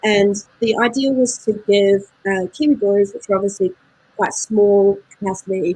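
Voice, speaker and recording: In a New Zealand accent, a woman speaks at a medium pitch with a dark, mellow tone that is somewhat breathy. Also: ordinary pitch variation, moderate pace. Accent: New Zealand, getting thicker. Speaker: beer importer representative. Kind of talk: casual interview chat. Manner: hesitant, many fillers.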